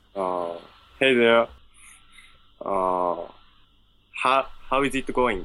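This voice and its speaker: With a Japanese accent, the speaker moves at a very slow pace, leaving long, frequent pauses, and uses ordinary pitch variation. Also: man, medium pitch for a man. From Japan, Ishikawa Prefecture. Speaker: English learner. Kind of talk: English lesson conversation. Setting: online call. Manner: halting.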